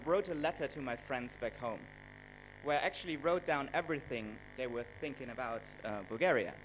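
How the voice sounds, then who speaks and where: A man talks fairly quickly, with music in the background. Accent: German. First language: German. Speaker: travel blogger and videographer. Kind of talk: conference presentation. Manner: hesitant, many fillers.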